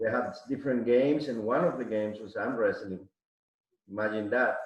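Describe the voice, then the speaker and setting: A man with a Mexican accent speaks in a room with audible echo. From Mexico City, Mexico. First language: Spanish. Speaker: arm wrestler. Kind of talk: casual chat.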